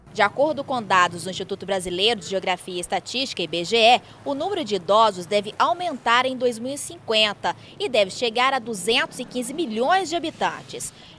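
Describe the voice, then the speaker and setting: A woman's fairly high voice at a fairly quick pace, with very wide pitch swings and noticeable background noise. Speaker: TV news reporter. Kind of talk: TV news report narration.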